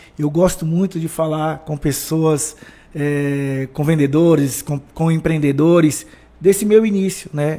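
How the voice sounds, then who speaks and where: In a Bahian accent, the speaker talks at a fairly slow pace with fairly even intonation. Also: man. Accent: Bahian (northeastern Brazilian). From Brazil, Bahia (Feira de Santana). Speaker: motivational speaker, former footballer. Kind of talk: podcast interview.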